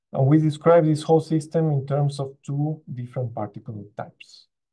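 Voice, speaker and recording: At a moderate pace, a man talks in a somewhat breathy voice with a dark, mellow tone. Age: young. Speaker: postdoctoral researcher. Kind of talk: conference talk. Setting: video call.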